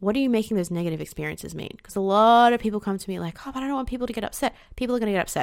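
A woman talks very fast at a medium pitch with ordinary pitch variation. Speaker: podcast host and life coach. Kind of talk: solo podcast monologue. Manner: expressive, emotions audible.

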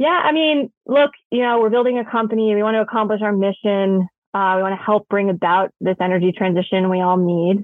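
An unremarkable speaking voice from a woman with an American accent, medium in pitch with ordinary variation, fairly quick, hardly any pauses, and very even loudness. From New York City. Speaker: energy company co-founder and executive. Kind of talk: interview.

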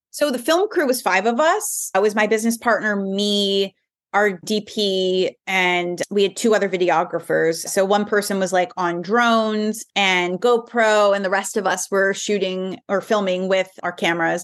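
A woman with a plain, everyday voice speaks at a moderate pace and medium pitch, with hardly any pauses, very even loudness, ordinary pitch variation and a quiet background. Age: 30s. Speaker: filmmaker and journalist. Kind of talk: interview conversation.

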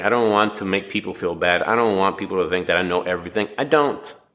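Bright and sharp in tone, a man's fairly low voice moves at a fairly quick pace with ordinary pitch variation. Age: 40s. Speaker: podcast host. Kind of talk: reading aloud; casual monologue.

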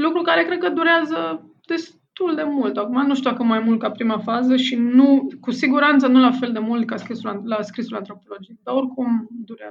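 A woman with a high pitch and lively intonation talks at a moderate pace with hardly any pauses. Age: 40s. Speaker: anthropologist and novelist. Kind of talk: interview. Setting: remote call.

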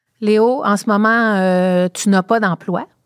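On a very clean recording with a silent background and a dry, close sound with no echo, a woman speaks at medium pitch with fairly even intonation in a plain, everyday voice. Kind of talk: casual interview.

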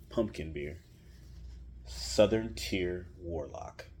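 A man speaks with vocal fry. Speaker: beer podcast host. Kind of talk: casual solo monologue. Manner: conversational with frequent fillers.

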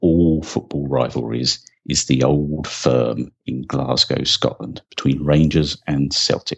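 In a southern English accent, a man speaks at a very slow pace with a very deep, low pitch and fairly even intonation. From England, rural Sussex. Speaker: football fan and history presenter. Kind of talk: scripted narration.

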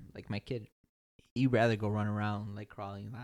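This man has a plain, everyday voice and an American accent, pitched fairly low. He talks at a fairly quick pace with fairly even intonation. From Chicago, Archer Heights. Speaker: guest, new father. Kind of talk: casual chat.

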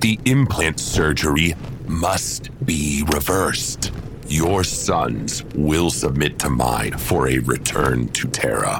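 A man's very slow speech competes with loud background noise. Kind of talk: audio drama acting. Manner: calm, firm, reproachful.

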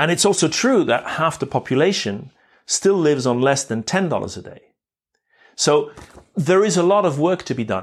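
A man's fairly high voice with very wide pitch swings at a moderate pace, on a very clean recording with a silent background. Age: 50s. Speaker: podcast host. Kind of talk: reflective monologue. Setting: outdoors, walking in a park.

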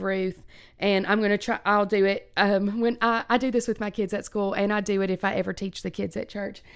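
On a very clean recording with a silent background, a woman speaks at a moderate pace and medium pitch with fairly even intonation. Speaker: podcast host, schoolteacher. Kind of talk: casual chat.

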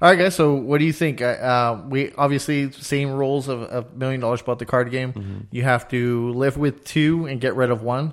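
An unremarkable speaking voice moves at a moderate pace with fairly even intonation and hardly any pauses. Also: man, medium pitch for a man. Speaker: podcast co-host. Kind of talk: casual chat.

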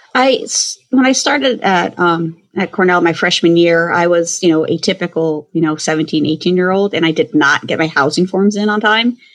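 A woman with a normal speaking voice talks at a moderate pace, her fairly low pitch varying in an ordinary way. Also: very even loudness. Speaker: food service consultant. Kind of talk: casual interview.

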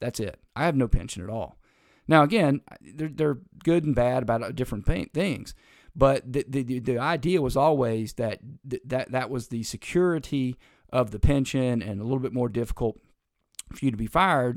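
This very clean recording has a silent background. A medium-pitched man talks in an animated tone with ordinary pitch variation. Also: moderate pace. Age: 50s. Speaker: political podcast host and lawyer. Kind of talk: solo news commentary podcast. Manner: animated, with frequent fillers and restarts.

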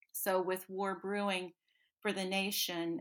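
In a very clean recording with a silent background, a woman with an American accent speaks at a very slow pace in a medium pitch. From North Carolina foothills. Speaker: novelist. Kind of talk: interview.

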